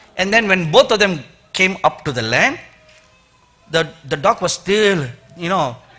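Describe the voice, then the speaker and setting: With an Indian accent, a man speaks at a high pitch. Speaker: preacher. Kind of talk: sermon.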